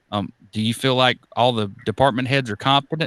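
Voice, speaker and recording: A man with an unremarkable speaking voice, fairly even intonation, and a fairly quick pace on a very clean recording with a silent background. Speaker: podcast host. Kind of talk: podcast interview questions.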